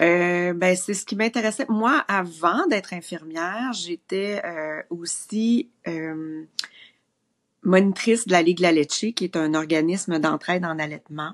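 Against a quiet background, a woman with a Quebec accent speaks at a very slow pace in a fairly low pitch with ordinary pitch variation. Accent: Québécois French. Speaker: maternity nurse; guest. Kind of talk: casual chat. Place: home room. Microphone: video call.

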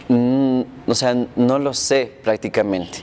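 There is ordinary pitch variation in this man's speech. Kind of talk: interview answer. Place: home room. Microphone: lapel.

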